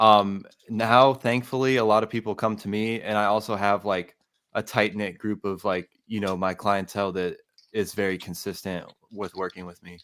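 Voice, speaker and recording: With an unremarkable speaking voice, a man talks at a moderate pace and fairly low pitch with ordinary pitch variation, recorded very cleanly over a silent background. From US South, Atlanta, Georgia. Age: 20s. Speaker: music producer and audio engineer. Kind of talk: casual interview.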